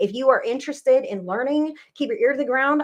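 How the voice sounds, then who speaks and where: Speaking in an American accent, a woman has a high pitch and ordinary pitch variation. She moves at a fairly quick pace. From California. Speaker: psychic medium. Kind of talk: live-stream psychic reading and chat. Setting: live video broadcast. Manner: fast; slurs words at times.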